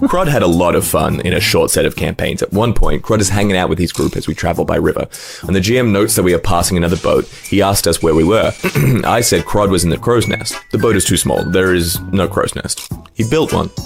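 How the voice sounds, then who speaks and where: Against music in the background, the speech races along at a very fast pace with very even loudness and ordinary pitch variation. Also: man, fairly low pitch for a man. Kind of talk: tabletop game story narration.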